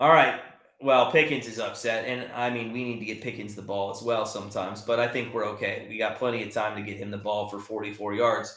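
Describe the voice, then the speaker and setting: Big swings in loudness come through as a man talks at a fairly quick pace. His pitch is medium, and audible room echo is present. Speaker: sports betting channel host. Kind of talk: live play-by-play commentary on a watch party stream. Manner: fast; animated.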